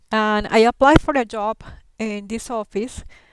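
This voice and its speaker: A woman with a Colombian accent, fairly high in pitch with fairly even intonation, in a very clean recording over a silent background. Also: dry, close sound with no echo. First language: Spanish. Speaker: settlement worker and interpreter. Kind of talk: class talk about her career. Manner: hesitant, many fillers.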